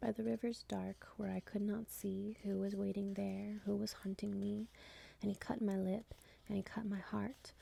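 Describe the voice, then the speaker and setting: Soft-spoken delivery at a moderate pace. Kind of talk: ASMR poetry reading.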